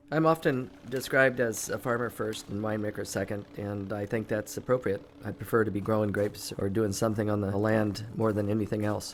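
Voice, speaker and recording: Talking at a fairly quick pace, a man with an American accent has a normal speaking voice, fairly low in pitch, with fairly even intonation. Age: 60s. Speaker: winemaker and farmer. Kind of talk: documentary interview.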